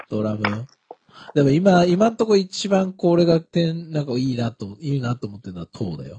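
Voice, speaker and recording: Dry and close with no echo, the clip has a man speaking at a moderate pace in a fairly high pitch, with a dark, mellow, somewhat breathy tone, very wide pitch swings and big swings in loudness. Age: 30s. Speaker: podcast co-host. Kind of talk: casual chat.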